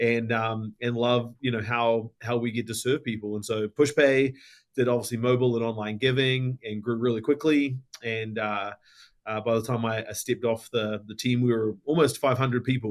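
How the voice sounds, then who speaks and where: A man with a New Zealand accent speaks at a moderate pace and medium pitch in a monotone, flat intonation. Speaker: tech company founder and ministry organization CEO. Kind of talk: podcast interview.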